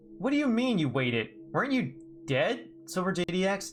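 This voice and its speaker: A man puts on a character voice, high-pitched and swinging very widely in pitch. He talks at a fairly quick pace. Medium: read story. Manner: earnest, reactive.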